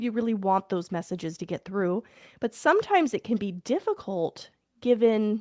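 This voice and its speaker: In a normal speaking voice, the speaker moves at a fairly slow pace with lively intonation, the sound dry and close with no echo on a very clean recording with a silent background. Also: woman. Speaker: parent, podcast host. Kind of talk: casual podcast talk to listeners. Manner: warm, heartfelt.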